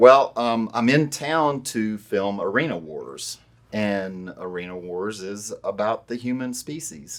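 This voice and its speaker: In a Southern US accent, a man at medium pitch talks very slowly with lively intonation and big swings in loudness, on a very clean recording with a silent background. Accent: southern drawl. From US South, Louisiana. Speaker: wildlife removal business owner. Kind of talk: interview. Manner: serious, matter-of-fact.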